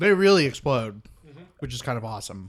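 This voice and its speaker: A fairly high-pitched male voice with very wide pitch swings. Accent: American. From Oklahoma, US. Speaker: podcast co-host. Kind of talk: casual banter. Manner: sarcastic, teasing.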